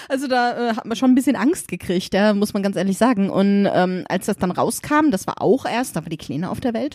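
On a very clean recording with a silent background, a woman with an unremarkable speaking voice and medium pitch talks at a fairly quick pace with hardly any pauses. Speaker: guest, genderfluid parent. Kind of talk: casual chat. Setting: at the host's home.

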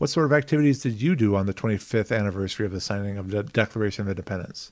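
A man talks at a fairly low pitch, with ordinary pitch variation. The recording is very clean, with a silent background. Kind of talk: audiobook-style reading aloud of a memoir, with casual podcast intro. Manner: measured, earnest, slightly hesitant with filler words.

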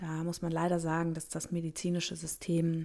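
A woman with a plain, everyday voice and fairly low pitch speaks at a moderate pace in a very clean recording with a silent background. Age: 30s. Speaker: gynecologist and podcast host. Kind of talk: solo podcast monologue.

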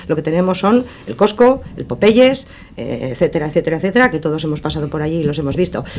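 A woman with a fairly low pitch talks at a very fast pace over noticeable background noise. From Basque Country, Sestao (Biscay). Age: 60s. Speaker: councillor and election candidate. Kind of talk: radio election debate. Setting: radio studio.

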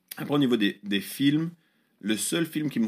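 Ordinary pitch variation marks a man's voice on a very clean recording with a silent background. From Switzerland, Lausanne. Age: 30s. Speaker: pastor. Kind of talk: interview.

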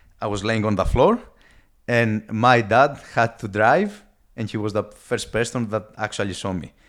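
On a very clean recording with a silent background, a man speaks at a medium pitch and moderate pace with fairly even intonation and a strong Greek accent. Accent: heavy Greek. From Greece. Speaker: guest sharing life story. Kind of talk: casual interview. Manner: halting with repeated words.

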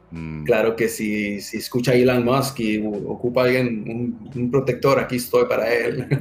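Music plays in the background as a man with a medium pitch and ordinary pitch variation talks at a fairly slow pace with hardly any pauses. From US, raised from age two, born in Mexico. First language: English (speaking Spanish). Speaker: security manager, military veteran. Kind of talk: interview.

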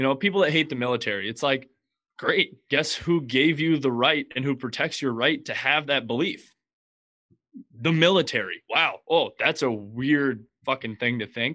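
Against a quiet background, a man with a fairly high pitch speaks in a plain, everyday voice. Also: ordinary pitch variation, moderate pace. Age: 20s. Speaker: podcast host, guest. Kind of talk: casual chat. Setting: video call.

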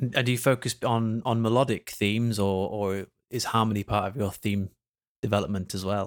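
On a very clean recording with a silent background, a man uses a normal speaking voice, fairly low in pitch, fairly quick in pace, and fairly even in intonation. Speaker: podcast host. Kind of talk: interview.

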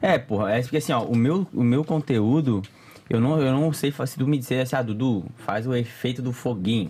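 Speaking at a moderate pace, a man uses a medium-pitched voice with a dark, mellow tone, very even loudness and ordinary pitch variation. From Florianópolis area, Santa Catarina, Brazil. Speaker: content creator. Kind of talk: casual chat.

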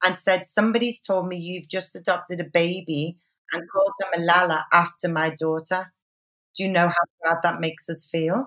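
A woman speaks in a fairly low pitch at a moderate pace, her intonation fairly even, with an unremarkable speaking voice. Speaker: podcast host. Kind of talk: casual interview chat.

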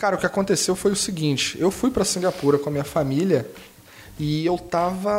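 There is noticeable background noise. Over it, a man speaks with a Carioca accent. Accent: carioca accent, clearly audible. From Rio de Janeiro, Brazil. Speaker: innovation consultant and designer. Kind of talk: casual lecture-style interview. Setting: improvised studio.

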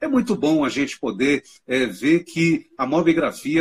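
This man's voice sits at a fairly high pitch with lively intonation. Vocal fry comes through. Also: dry, close sound with no echo. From eastern Minas Gerais, Brazil. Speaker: university lecturer and mobile photographer. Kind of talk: live-stream interview. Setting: live stream call. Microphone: audio feedback issues with headphones.

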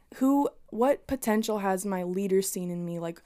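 A woman with an unremarkable speaking voice, pitched in the medium range. Her pitch variation is ordinary. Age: 20s. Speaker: student and church ministry member. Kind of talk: casual chat.

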